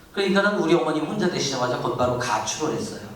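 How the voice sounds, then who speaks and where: In an animated tone, a man with a high pitch makes very wide pitch swings. Noticeable background noise and audible room echo fill the recording. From South Korea, Incheon. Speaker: pastor. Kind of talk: testimony.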